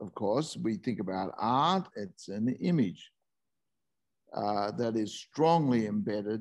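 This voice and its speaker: With an Australian accent, a man speaks at a very slow pace against a quiet background. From Northern New South Wales, Australia. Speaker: presenter. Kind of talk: talk; lecture. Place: home room. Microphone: video call.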